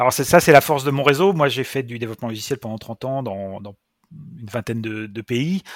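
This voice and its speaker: A man speaks at a fairly quick pace and medium pitch, with ordinary pitch variation and big swings in loudness. The recording is very clean, with a silent background and a dry, close sound with no echo. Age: 50s. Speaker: founder of a software school. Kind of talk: interview. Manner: hesitant, with frequent repetitions.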